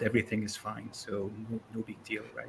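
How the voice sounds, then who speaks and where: With an Arabic accent, a man talks at a fairly quick pace. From Syria, Damascus. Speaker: comic collector. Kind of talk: presentation.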